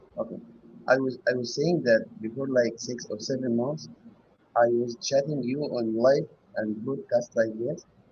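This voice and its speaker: Someone with a non-native accent talks at a moderate pace. The voice is somewhat breathy. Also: man, medium pitch for a man, ordinary pitch variation. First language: not English. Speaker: hobby metal detectorist caller. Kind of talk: casual Q&A on live show. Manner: halting.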